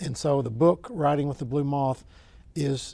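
With a strong Oklahoman accent, a man speaks in a dark, mellow tone that is somewhat breathy. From Oklahoma, US. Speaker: author and sports administrator. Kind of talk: interview answers.

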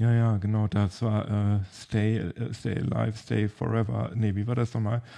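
A man talks at a moderate pace with hardly any pauses. His intonation is monotone and flat. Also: fairly low pitch for a man. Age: 40s. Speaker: tech podcast host. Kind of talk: casual chat.

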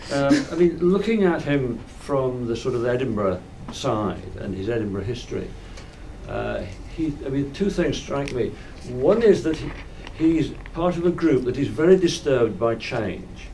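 A man talks at a moderate pace in a fairly high pitch with very wide pitch swings, over noticeable background noise. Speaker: audience member asking question. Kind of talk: Q&A comment.

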